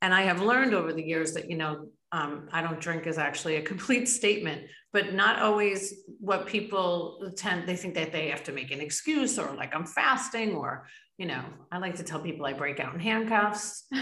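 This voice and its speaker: With an American accent and a bright, sharp tone, a woman speaks at a moderate pace with lively intonation and a fairly low pitch. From New York state. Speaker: podcast host. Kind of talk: interview.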